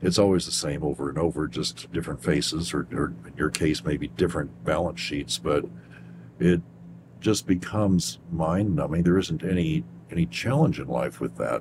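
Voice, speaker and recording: A man with a very deep, low pitch speaks with vocal fry. His pace is moderate and his pitch varies in an ordinary way. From Kentucky. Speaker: radio show host. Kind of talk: interview.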